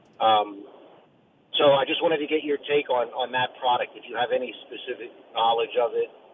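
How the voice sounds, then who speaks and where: Loudness rises and falls in big swings. The man keeps up a fairly quick pace. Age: 50s. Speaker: caller. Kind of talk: phone-in question.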